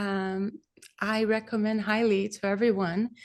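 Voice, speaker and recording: Speaking at a medium pitch, a woman talks with a Brazilian accent. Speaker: kirtan singer. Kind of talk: interview answer.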